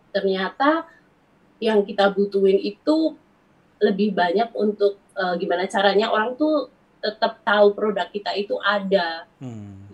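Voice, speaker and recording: The voice carries a strong Javanese accent. Its pace is fairly slow. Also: woman, medium pitch for a woman, ordinary pitch variation. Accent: Javanese, medok. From Central Java, Wonosobo. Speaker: ethnic fashion business owner. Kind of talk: casual chat.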